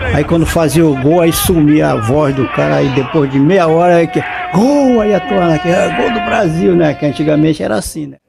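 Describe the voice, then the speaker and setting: Amid noticeable background noise, a man with a fairly high pitch talks at a moderate pace with lively intonation and hardly any pauses. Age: 80s+. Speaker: elderly interviewee. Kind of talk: interview. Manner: halting.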